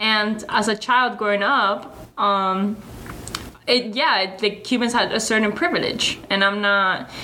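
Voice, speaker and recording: Amid noticeable background noise and audible room echo, a woman speaks at a fairly slow pace in a fairly high pitch with fairly even intonation. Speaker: podcast host. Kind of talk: casual chat.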